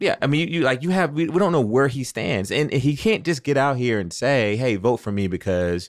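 This is a normal speaking voice, moving at a fairly quick pace with lively intonation. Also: man. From Athens, Georgia, US. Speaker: Democratic political strategist. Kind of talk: political roundtable discussion.

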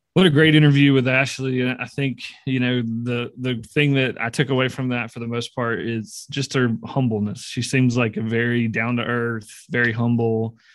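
This man talks at a moderate pace with hardly any pauses, in a Southern US accent. His pitch is medium and his intonation fairly even. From Mississippi. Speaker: podcast co-host. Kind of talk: casual interview.

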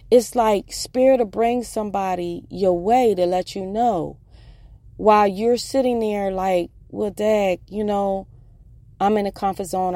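At a fairly slow pace, the speaker talks in an animated tone with an American accent. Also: woman. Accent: northern US accent noticed in the South. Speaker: life coach and podcast host. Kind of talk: casual motivational monologue. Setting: parked in his truck. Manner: animated, laughs often.

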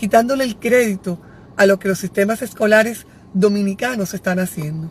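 Somewhat breathy and animated, a woman speaks at a moderate pace and medium pitch with ordinary pitch variation. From Dominican Republic, Santiago. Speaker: educator and psycho-pedagogical consultant. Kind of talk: live stream talk to parents.

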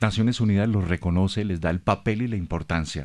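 A man with a very deep, low pitch talks against a quiet background. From Bogotá, Colombia. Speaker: radio host. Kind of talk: radio interview. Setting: radio studio. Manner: formal.

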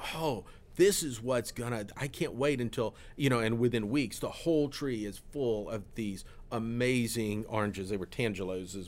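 Recorded very cleanly against a silent background, a man with an American accent has an unremarkable speaking voice at medium pitch with ordinary pitch variation. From Florida. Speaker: pastor. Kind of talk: casual chat.

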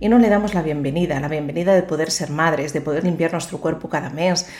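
A woman speaks in a plain, everyday voice at a fairly quick pace. Her pitch is fairly low, with ordinary pitch variation. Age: 50s. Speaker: psychologist and podcast host. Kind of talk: motivational monologue.

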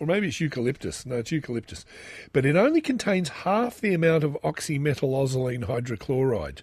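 Over a quiet background, a man with a fairly high pitch speaks quickly in an Australian accent, his voice somewhat breathy and his intonation lively. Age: 40s. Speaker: podcast host. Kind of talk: solo monologue reading and commenting on news.

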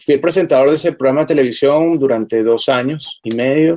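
With a Venezuelan accent, a man speaks at a fairly high pitch and a fairly quick pace, with ordinary pitch variation. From Venezuela, Caracas. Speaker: journalist and TV presenter. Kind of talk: interview testimony.

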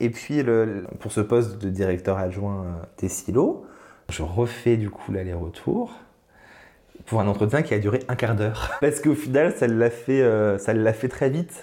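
This man has a dark, mellow tone at medium pitch, speaking at a fairly slow pace with ordinary pitch variation. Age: 30s. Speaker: cultural venue director. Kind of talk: casual interview.

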